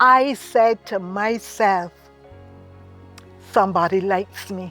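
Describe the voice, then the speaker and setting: Music plays in the background as a woman speaks. Her pace is very slow, with ordinary pitch variation. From Barbados. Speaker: retired teacher. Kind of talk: interview answer.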